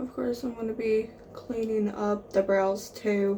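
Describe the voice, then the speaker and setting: A soft-spoken woman talks at a fairly slow pace, her fairly high pitch showing ordinary variation over noticeable background noise. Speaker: makeup vlogger. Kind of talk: makeup tutorial.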